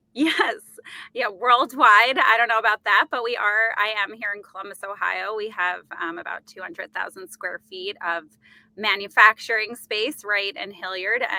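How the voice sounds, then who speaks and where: With big swings in loudness, a woman's fairly high, bright and sharp voice comes through dry and close with no echo, at a moderate pace. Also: ordinary pitch variation. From New York. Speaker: company executive. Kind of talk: podcast interview. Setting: remote call from an office booth.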